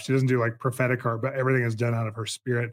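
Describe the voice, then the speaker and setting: This man has a medium-pitched voice. His tone is enthusiastic. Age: 40s. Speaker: podcast host. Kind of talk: interview conversation.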